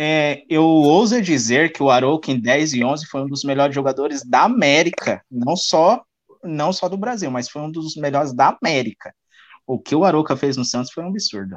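Against a quiet background, a man talks at a moderate pace in a normal speaking voice. His pitch is fairly high, and his intonation is lively. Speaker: podcast host. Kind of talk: casual chat. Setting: live stream.

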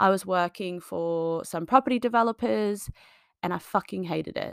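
The recording is very clean with a silent background, capturing a woman at a medium pitch in a dry, close sound with no echo. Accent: Australian. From Australia, small farming town. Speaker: fitness coach and podcast host. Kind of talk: solo monologue podcast. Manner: casual, filler-heavy.

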